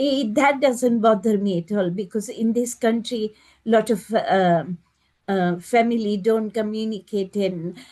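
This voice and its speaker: Against a quiet background, a woman with a fairly high pitch talks at a fairly slow pace in a dark, mellow tone, with ordinary pitch variation. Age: 70s. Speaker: meditation group participant. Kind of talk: casual chat. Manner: halting.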